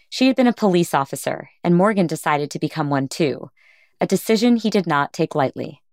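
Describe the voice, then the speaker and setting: This woman has an ordinary speaking voice, fairly low in pitch, with lively intonation. The sound is dry and close with no echo, in a very clean recording with a silent background. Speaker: podcast host interviewer. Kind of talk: interview.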